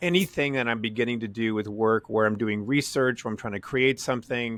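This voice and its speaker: Pitched at a medium level, a man talks in a plain, everyday voice with ordinary pitch variation. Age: 60s. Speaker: podcast host. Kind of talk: podcast interview.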